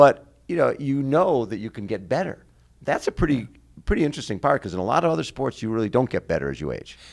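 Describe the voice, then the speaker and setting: Very fast and with very wide pitch swings, a man speaks at a medium pitch. Vocal fry runs through his voice. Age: 70s. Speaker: triathlon show host. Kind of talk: casual interview.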